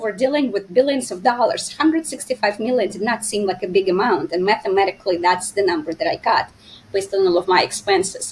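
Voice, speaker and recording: A woman in a Russian accent talks at a fairly quick pace with very wide pitch swings. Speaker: finance expert and entrepreneur. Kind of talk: interview. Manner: hesitant with fillers.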